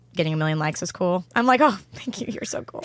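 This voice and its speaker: A woman speaks with a Southern Californian accent. Her pitch is fairly low. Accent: Valley Girl. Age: 20s. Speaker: social media creator. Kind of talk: casual chat.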